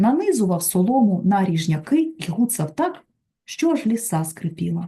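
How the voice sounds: Heard over a quiet background, it is a natural reading voice.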